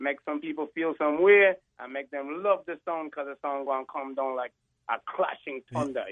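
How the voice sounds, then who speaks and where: A man with a Jamaican accent talks at a moderate pace, his pitch fairly high and his intonation moving in an ordinary way. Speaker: rapper. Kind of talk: radio interview answer.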